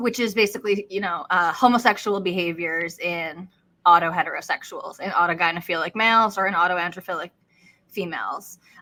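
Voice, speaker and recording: In a very clean recording with a silent background, a woman with an American accent speaks in a bright, sharp tone with fairly even intonation. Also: medium pitch for a woman, fairly quick pace. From New York. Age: 30s. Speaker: podcast co-host. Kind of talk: interview conversation.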